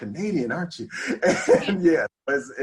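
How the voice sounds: Speaking in a Californian accent, a man talks at a fairly slow pace. His intonation is lively. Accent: California.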